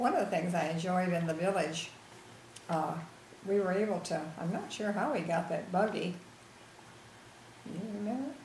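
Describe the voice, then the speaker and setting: Over noticeable background noise and audible room echo, a woman with an American accent talks at a moderate pace and medium pitch, with ordinary pitch variation and long, frequent pauses. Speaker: grandmother being interviewed. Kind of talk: family history interview.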